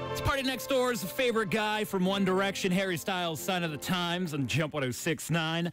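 With clear music in the background and a dry sound with no echo, a man speaks at a high pitch in an upbeat, energetic tone, at a fairly quick pace with hardly any pauses. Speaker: radio DJ. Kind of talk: top 40 radio DJ talk. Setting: studio. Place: studio. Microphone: studio mic.

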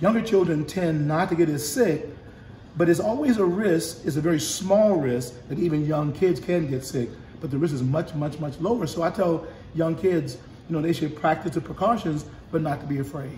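A man with a fairly high pitch and a dark, mellow tone talks at a moderate pace, with audible room echo and light background noise. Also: ordinary pitch variation. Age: 70s. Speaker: bishop. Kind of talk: casual chat. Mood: calm, reassuring. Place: home room. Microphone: phone near.

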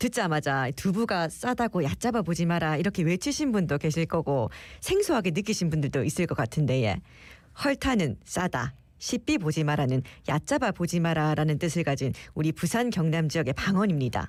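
In a very clean recording with a silent background, a woman with a fairly low voice speaks at a moderate pace, her pitch swinging very widely while her loudness stays very even. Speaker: radio host. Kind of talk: radio show hosting.

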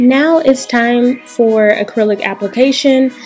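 Music plays behind a woman as she talks. She has an American accent and ordinary pitch variation. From United States. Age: 20s. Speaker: beauty content creator. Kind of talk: beauty tutorial narration.

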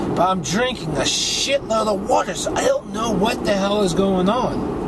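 A man at a moderate pace with ordinary pitch variation, dry sound with no echo, and loud background noise. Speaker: weight loss vlogger. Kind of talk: casual vlog chat. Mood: frustrated, venting. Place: car. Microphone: phone near.

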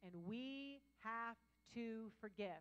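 The voice has a bright, sharp tone, an animated delivery and lively intonation. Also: woman. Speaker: pastor. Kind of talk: sermon. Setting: church with live congregation. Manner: loud. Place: church. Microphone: handheld.

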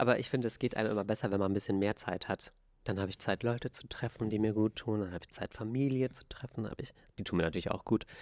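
A man with a fairly low voice talks at a very fast pace, his loudness swinging widely and his intonation fairly even, against a quiet background. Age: 20s. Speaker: podcast co-host. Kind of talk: casual chat. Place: studio. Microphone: handheld.

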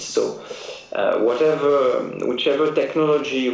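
Someone with a French accent speaks at a fairly slow pace, with audible room echo and noticeable background noise. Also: man. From France. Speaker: trade agency director. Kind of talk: interview.

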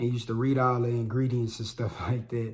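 The man talks at a very fast pace. His voice is somewhat breathy. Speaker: vlogger, podcaster. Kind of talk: casual vlog chat. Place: home room.

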